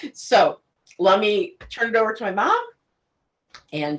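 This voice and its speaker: A woman's very slow speech. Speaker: cooking show co-host. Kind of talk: casual cooking video chat. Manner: loud.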